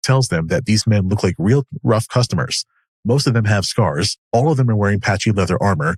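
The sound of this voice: Ordinary pitch variation runs through an unforced reading voice set against a quiet background.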